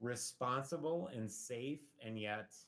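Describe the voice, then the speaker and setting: A man speaks at a medium pitch in a normal speaking voice with ordinary pitch variation. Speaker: school district administrator. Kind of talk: presentation at school board meeting. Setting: video conference.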